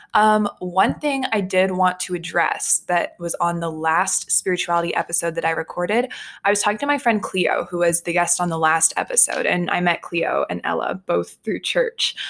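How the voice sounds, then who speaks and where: A woman with an American accent has an ordinary speaking voice at medium pitch with ordinary pitch variation. She talks at a moderate pace with hardly any pauses. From Texas. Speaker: podcast host. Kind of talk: podcast intro and outro; casual interview.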